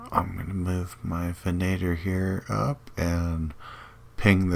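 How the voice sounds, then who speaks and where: With fairly even intonation, a man's voice sits at a very deep, low pitch. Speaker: gaming video creator. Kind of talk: gameplay commentary. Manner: casual, hesitant with fillers.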